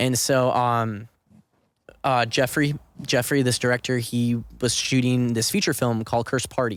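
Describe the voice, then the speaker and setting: A man talks at a medium pitch. His loudness stays very even on a very clean recording with a silent background. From Southern California, Orange County. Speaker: actor and filmmaker. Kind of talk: casual podcast interview. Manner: fast; animated.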